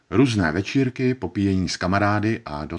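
An ordinary speaking voice moves at a fairly quick pace. The background is quiet. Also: man. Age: 40s. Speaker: actor. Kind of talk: personal testimony narration.

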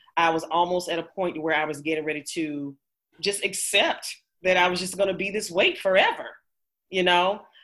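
A woman with a plain, everyday voice, fairly low in pitch, at a moderate pace with fairly even intonation. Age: 40s. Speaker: coaching client. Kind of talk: interview.

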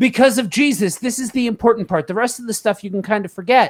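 The man speaking has a high-pitched voice. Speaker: podcast host and panelist. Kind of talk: casual group Bible discussion.

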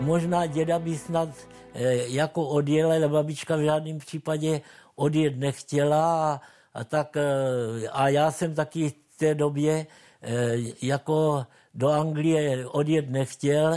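Against a quiet background, a man speaks at a very slow pace in a dark, mellow tone. His pitch is fairly high, and his intonation is monotone and flat. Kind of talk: testimony, oral-history recollection. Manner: halting, hesitant, repeating words; reflective, unhurried.

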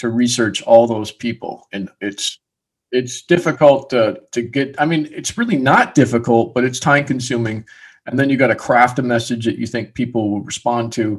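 Medium in pitch, a man's voice shows ordinary pitch variation at a moderate pace. It is a plain, everyday voice. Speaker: podcast host. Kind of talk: interview.

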